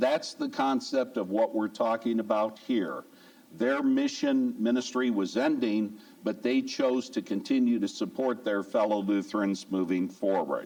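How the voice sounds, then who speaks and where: A man with an American accent speaks at a fairly slow pace. His loudness stays very even. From US Midwest. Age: 60s. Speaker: church lay speaker, giving ministry chair. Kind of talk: church talk on giving. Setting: church service.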